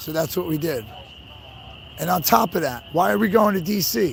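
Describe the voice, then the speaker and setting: A man is speaking at a moderate pace. Noticeable background noise can be heard. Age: 30s. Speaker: livestreamer at protest convoy. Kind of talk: casual live-stream talk to chat. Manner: casual, repetitive with fillers.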